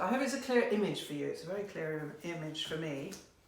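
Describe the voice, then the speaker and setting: Very wide pitch swings come at a moderate pace, with audible room echo and noticeable background noise. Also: woman. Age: 60s. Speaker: card reader, painter. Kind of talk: card reading for viewers. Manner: conversational, some hesitations.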